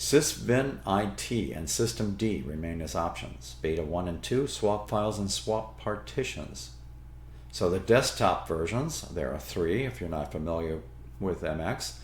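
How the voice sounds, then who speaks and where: A man speaks at a fairly slow pace with vocal fry and very wide pitch swings. Room echo is audible. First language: not English. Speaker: Linux tutorial YouTuber. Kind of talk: tutorial.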